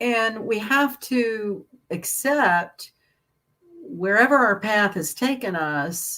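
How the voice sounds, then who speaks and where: A woman with a fairly high pitch speaks at a very slow pace with lively intonation. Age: 60s. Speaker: astrologer. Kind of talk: casual chat. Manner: halting.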